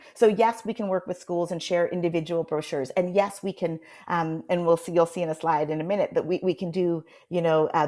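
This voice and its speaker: A woman speaks in a fairly low voice with ordinary pitch variation. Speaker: marketing agency presenter. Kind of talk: presentation to committee. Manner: fast; halting, many fillers.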